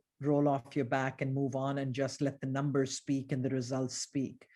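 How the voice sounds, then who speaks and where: The very clean recording, with a silent background, carries a woman's voice with a slight Indian accent. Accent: very muted Indian English. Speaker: business executive, former wealth advisor. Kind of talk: interview conversation. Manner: frequent repetitions and fillers.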